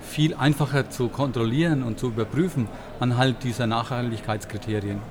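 At a moderate pace and medium pitch, a man speaks with ordinary pitch variation over noticeable background noise. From Bavaria. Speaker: fund manager. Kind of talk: interview. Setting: conference venue.

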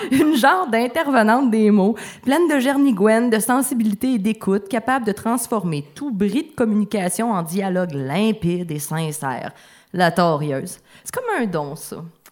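Pitch swings very widely as the speaker keeps a moderate speed. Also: woman, fairly high pitch for a woman. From Abitibi-Témiscamingue, Quebec. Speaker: author. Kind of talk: reading own text aloud. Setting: stage with audience.

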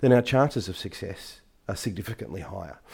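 A man with an Australian accent talks at a fairly quick pace, his tone dark and mellow, his pitch varying normally, on a very clean recording with a silent background. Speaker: tech business executive. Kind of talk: interview.

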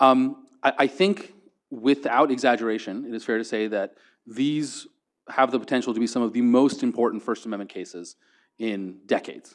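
This is a man with an unremarkable speaking voice, pitched at medium with ordinary pitch variation. He keeps a moderate pace over a quiet background. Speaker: law professor on panel. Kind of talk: panel discussion.

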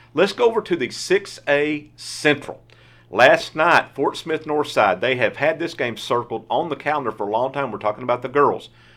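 A man speaks at a moderate pace with lively intonation. His is an ordinary speaking voice, fairly high in pitch. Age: 50s. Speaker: sportswriter podcast host. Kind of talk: casual sports chat. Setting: studio.

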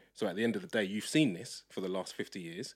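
Against a silent background, the recording is very clean. A man speaks very fast. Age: 30s. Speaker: podcast co-host. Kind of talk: casual chat.

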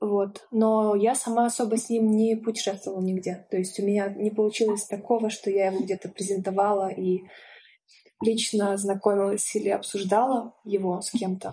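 In a dark, mellow tone, a woman speaks at a moderate pace with monotone, flat intonation. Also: medium pitch for a woman. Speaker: animation film director. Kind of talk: casual interview.

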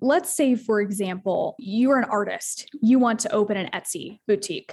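In an American accent, a woman with a somewhat breathy voice speaks at a moderate pace with a fairly high pitch and ordinary pitch variation. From Asheville, North Carolina, US. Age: 20s. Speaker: CEO advisor and business consultant. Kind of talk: casual interview conversation.

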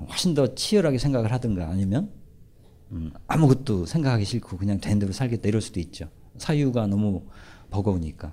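In a very clean recording with a silent background, a man with a fairly low pitch and a dark, mellow tone speaks at a fairly quick pace with lively intonation and long, frequent pauses. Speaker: professor and lecturer. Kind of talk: lecture with audience Q&A. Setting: stage with live audience.

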